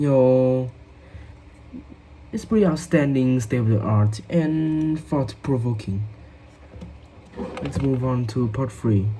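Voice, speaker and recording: Very slow speech with long, frequent pauses in a Vietnamese accent, over noticeable background noise. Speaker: English learner. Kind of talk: speaking test practice. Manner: halting, many fillers.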